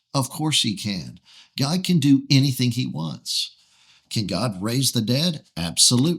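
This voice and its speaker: At a fairly slow pace, a man speaks at a medium pitch with lively intonation on a very clean recording with a silent background. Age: 60s. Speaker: pastor. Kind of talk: sermon-style podcast teaching. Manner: emphatic, rhetorical questions.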